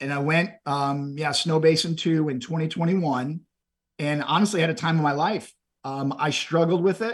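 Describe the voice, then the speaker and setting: This man has an ordinary speaking voice with an American accent. His pitch sits fairly high, varies in an ordinary way, and he talks at a moderate pace. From Texas, Houston area. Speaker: endurance event participant. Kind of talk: interview.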